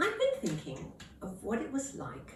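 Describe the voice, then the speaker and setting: A woman speaks with audible room echo. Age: 80s+. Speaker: elderly vlogger. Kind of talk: casual vlog talk.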